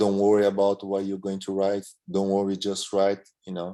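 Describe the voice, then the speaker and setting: A man's fairly low voice with a Portuguese accent. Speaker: medium in a spiritist study group. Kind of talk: testimony in a study class. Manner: halting, many repeated words and fillers.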